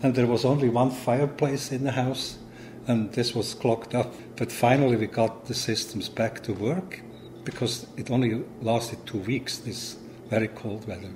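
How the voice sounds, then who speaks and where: A man with a Swiss German accent speaks at a moderate pace and medium pitch, his intonation fairly even. Noticeable background noise runs underneath. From Switzerland, Zurich. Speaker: immigrant homeowner. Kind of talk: documentary interview.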